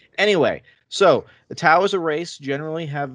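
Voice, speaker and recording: Using a normal speaking voice, this man keeps a moderate pace and ordinary pitch variation. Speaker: podcaster. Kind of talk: casual chat.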